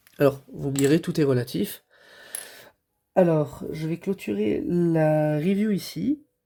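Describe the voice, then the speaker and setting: Speaking very slowly with long, frequent pauses, a man uses a dark, mellow tone, a fairly high pitch and lively intonation. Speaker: toy reviewer. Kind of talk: product review. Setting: home recording, late at night. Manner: hesitant, many fillers.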